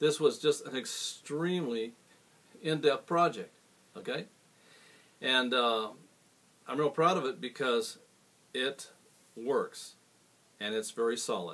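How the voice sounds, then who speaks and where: The delivery is fairly slow, with long, frequent pauses and lively intonation. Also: man, fairly high pitch for a man. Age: 60s. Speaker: guitar repairer. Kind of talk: product demonstration. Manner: casual, with frequent fillers.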